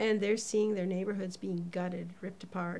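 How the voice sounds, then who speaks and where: A woman talks with monotone, flat intonation. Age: 70s. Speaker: mayoral candidate. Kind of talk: interview answer.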